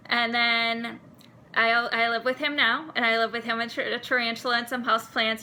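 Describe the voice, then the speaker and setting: Here a woman talks in a Wisconsin accent at a moderate pace. Her pitch is fairly high. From US Midwest, Milwaukee, Wisconsin. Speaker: seminary student. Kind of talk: personal vlog monologue.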